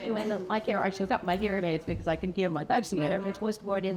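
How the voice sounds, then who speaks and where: Background noise is noticeable behind a woman's voice. Her pitch is medium, with ordinary variation. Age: 80s+. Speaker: poetry reader at senior center. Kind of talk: casual remarks before a reading aloud. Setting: senior center audience. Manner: halting.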